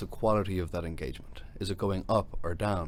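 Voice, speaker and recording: A man's fairly low voice moves at a moderate pace. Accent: Dublin. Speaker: tech company CEO, former lawyer. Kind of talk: podcast interview.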